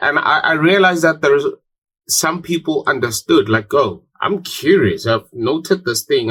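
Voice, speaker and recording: The voice has an American accent. It belongs to a man. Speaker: podcast co-host. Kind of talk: casual chat.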